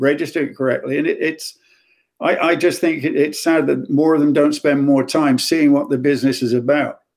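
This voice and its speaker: Speaking at a fairly quick pace with an English accent, a man has a fairly high pitch, ordinary pitch variation and very even loudness. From English Midlands. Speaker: music executive. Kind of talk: interview.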